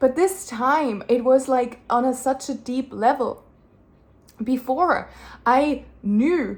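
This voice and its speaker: Loud and animated in tone, a woman with a high pitch speaks with lively intonation. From Germany. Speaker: addiction recovery coach. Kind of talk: casual vlog monologue. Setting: sitting on bed in a homestay room.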